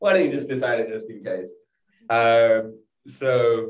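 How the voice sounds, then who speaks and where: A man in a strong British accent, with audible room echo. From England. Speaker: startup co-founder. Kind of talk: interview.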